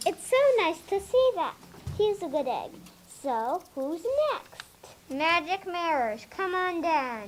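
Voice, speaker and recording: A put-on character voice with an extremely high pitch, a fairly slow pace and long, frequent pauses. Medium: stage play. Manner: patient, gentle.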